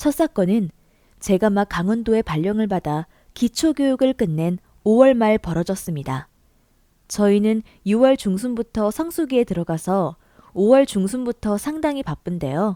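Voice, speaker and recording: A woman speaks at a medium pitch in a dark, mellow tone, her pitch swinging very widely. The recording is very clean with a silent background, and the sound is dry and close with no echo. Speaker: story narrator. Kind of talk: reader-submitted story narration.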